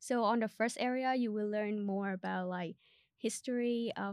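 A woman's fairly high voice with a Vietnamese accent, fairly slow pace and ordinary pitch variation, in a very clean recording with a silent background and a dry, close sound with no echo. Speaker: podcast host and student. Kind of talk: casual interview chat.

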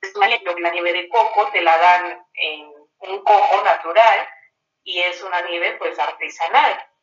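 Speech comes at a very slow pace. Music plays in the background. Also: woman. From Mexico, Morelos (Cuernavaca). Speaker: podcast co-host, local travel guide. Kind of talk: casual travel chat.

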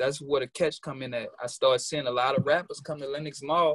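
A man with an American accent speaks at a moderate pace in a somewhat breathy, fairly high voice. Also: dry, close sound with no echo. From New Orleans, Louisiana. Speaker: rapper, music artist. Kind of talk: casual interview chat. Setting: video call from New York. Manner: casual, slangy.

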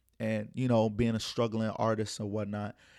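Nothing sounds behind the speaker in this very clean recording. The man moves along at a fairly quick pace. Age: 20s. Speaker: podcast host. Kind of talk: casual chat.

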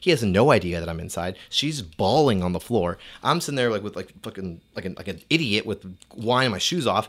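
Fairly quick and lively in intonation, a man with an American accent and fairly low pitch comes through on a very clean recording with a silent background. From United States, Mexican American. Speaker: podcast guest. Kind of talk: casual chat. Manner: animated.

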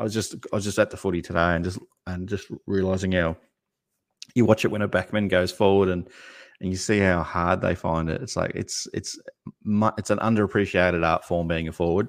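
On a very clean recording with a silent background, a man with an Australian accent speaks at a fairly quick pace in a very deep, low voice with monotone, flat intonation. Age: 40s. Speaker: basketball YouTube channel co-host. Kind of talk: casual chat.

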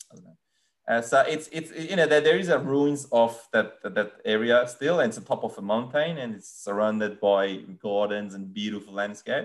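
Speaking with a Persian accent, a man keeps a medium pitch and a moderate pace. His intonation is lively. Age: 30s. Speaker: land surveyor. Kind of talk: casual interview. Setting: video call.

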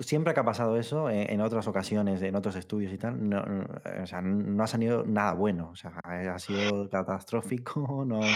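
A man with an ordinary speaking voice talks at a moderate pace in a fairly low pitch with ordinary pitch variation. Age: 30s. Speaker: video game podcast co-host. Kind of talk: casual chat.

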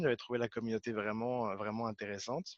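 Recorded with a dry, close sound without echo over a quiet background, a man speaks in a medium pitch with monotone, flat intonation. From France, Paris region. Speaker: Scrum Master. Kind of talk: interview. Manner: halting, many repeated words.

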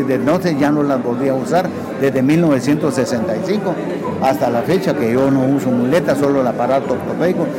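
A man speaks at a fairly high pitch and a moderate pace, with ordinary pitch variation and very even loudness. Crowd noise and audible room echo can be heard behind him. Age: 60s. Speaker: retired para-powerlifter. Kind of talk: radio interview.

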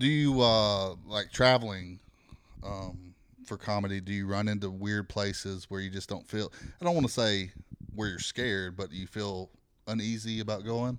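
On a very clean recording with a silent background, a man with a Southern US accent talks at a moderate pace in a fairly low voice with ordinary pitch variation. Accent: Southern US, noticeable. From Alabama. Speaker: podcast host, comedian. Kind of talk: casual chat. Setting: studio.

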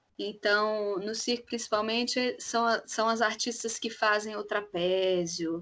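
A very slow woman's voice at medium pitch with ordinary pitch variation. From Belo Horizonte, Minas Gerais, Brazil. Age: 30s. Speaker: clown and actress. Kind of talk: casual chat.

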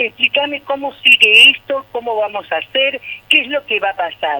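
A woman at a moderate pace, pitch swinging very widely, over noticeable background noise. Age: 60s. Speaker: neighbourhood association president. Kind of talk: radio phone interview. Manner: animated.

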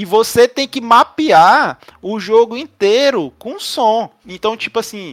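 A man's high voice with ordinary pitch variation, dry and close with no echo. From Ceará, northeastern Brazil. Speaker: podcast co-host. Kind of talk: casual chat.

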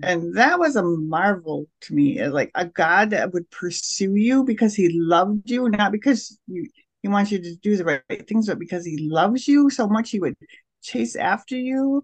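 An ordinary speaking voice with lively intonation moves at a moderate pace in a dry, close sound with no echo. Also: woman, medium pitch for a woman. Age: 60s. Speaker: spiritual director. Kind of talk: interview testimony.

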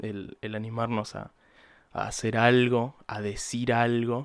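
Over a silent background in a very clean recording, a man with an Argentine accent speaks at a very slow pace. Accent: Rioplatense Argentine Spanish. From Buenos Aires province, Argentina. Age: young. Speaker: podcaster. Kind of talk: casual monologue. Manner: hesitant, many fillers and repeated words.

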